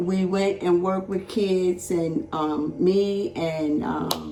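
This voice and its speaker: With music in the background and audible room echo, a woman of medium pitch speaks at a very slow pace. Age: 70s. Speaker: church member interviewed about her life. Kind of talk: casual interview.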